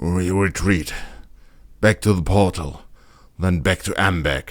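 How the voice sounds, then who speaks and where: Using a put-on character voice, a man speaks raspy and very deep, low, at a fairly slow pace with fairly even intonation. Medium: read story.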